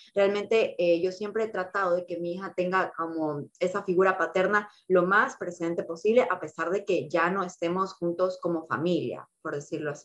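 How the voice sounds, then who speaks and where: A woman speaks at a medium pitch with fairly even intonation and hardly any pauses, in a plain, everyday voice. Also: moderate pace. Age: 20s. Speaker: single mother sharing her experience. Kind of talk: casual chat.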